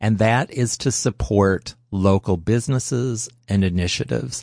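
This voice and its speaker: An ordinary speaking voice with ordinary pitch variation, a dry, close sound with no echo, and a quiet background. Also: man. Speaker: radio host. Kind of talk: radio pledge drive, live on-air fundraising appeal.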